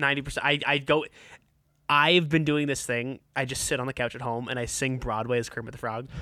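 Talking at a fairly quick pace, a man has a plain, everyday voice at a medium pitch. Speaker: podcast host. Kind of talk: casual chat.

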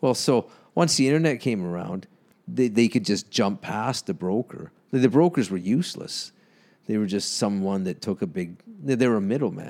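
A man with a Canadian accent, fairly low-pitched, at a moderate pace with lively intonation. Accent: Canadian accent, noticeable. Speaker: comedian and electrician. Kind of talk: casual chat. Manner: sounds amused and annoyed at once.

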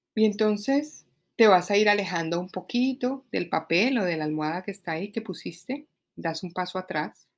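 Lively intonation marks a woman speaking at a moderate pace. The recording is very clean, with a silent background. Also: medium pitch for a woman. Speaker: life coach. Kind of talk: solo podcast monologue. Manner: halting.

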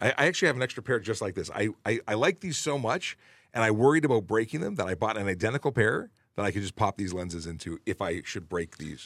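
In a dry, close sound with no echo, a man talks at a very fast pace in an animated tone with very wide pitch swings. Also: fairly low pitch for a man. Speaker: police officer hosting traffic Q&A show. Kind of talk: casual chat, live Q&A. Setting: live stream with online viewers. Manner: animated, joking, talkative.

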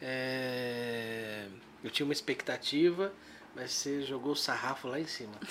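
Here a man speaks at a fairly slow pace in an ordinary speaking voice. He has a medium pitch and ordinary pitch variation. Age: 40s. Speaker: podcast host. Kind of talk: casual chat.

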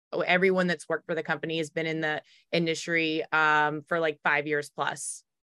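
On a very clean recording with a silent background, a woman with an American accent speaks at a moderate pace, her fairly low voice bright and sharp in tone. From US South, Raleigh, North Carolina. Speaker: title company business owner. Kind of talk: interview.

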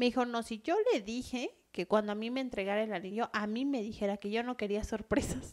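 Hers is a normal speaking voice, fairly high in pitch with ordinary pitch variation. The woman talks at a fairly quick pace with hardly any pauses. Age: 30s. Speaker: podcast co-host, nail salon owner. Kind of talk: casual chat.

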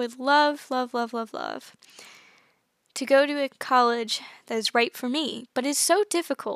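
A woman's high, bright and sharp voice, raised and projected, with an American accent, ordinary pitch variation, and a dry, close sound with no echo. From United States. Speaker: podcast host. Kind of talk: casual solo podcast talk. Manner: chatty, laughs often.

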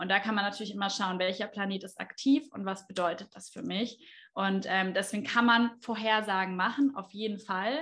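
A woman with a normal speaking voice talks at a medium pitch, with ordinary pitch variation, at a moderate pace. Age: 20s. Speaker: astrologer and trained speech therapist. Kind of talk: interview.

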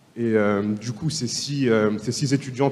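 Noticeable background noise accompanies a man of medium pitch speaking at a moderate pace with fairly even intonation. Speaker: law student, association vice-president. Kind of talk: panel discussion.

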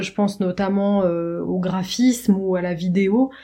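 A woman's dark, mellow tone at a medium pitch. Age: 30s. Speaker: marketing project manager. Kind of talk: casual chat. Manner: halting.

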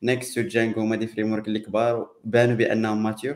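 This man's voice sits at a medium pitch and moves at a very fast pace. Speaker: tech podcast host. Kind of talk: live podcast panel chat.

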